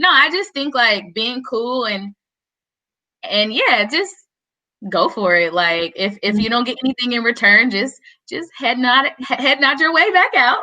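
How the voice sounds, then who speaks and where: The voice is loud, with a bright, sharp tone, and moves at a fairly slow pace. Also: woman. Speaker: van lifer panelist. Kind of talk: casual panel chat.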